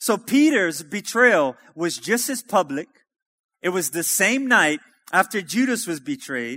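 A man's raised, projected voice at a high pitch, bright and sharp in tone, with lively intonation, dry and close with no echo, on a very clean recording with a silent background. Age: 30s. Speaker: preacher. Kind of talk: sermon. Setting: church.

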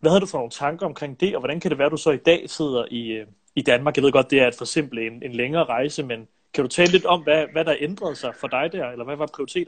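A man rattles along at a very fast pace. He sits at a fairly high pitch with ordinary variation. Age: 20s. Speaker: filmmaker and live-stream host. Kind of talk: interview. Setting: Instagram live stream. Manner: hesitant with frequent fillers.

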